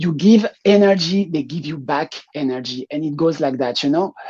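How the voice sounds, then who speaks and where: The speaker keeps a moderate pace with a French accent. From France. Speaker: drag performer. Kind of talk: interview. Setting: live online show.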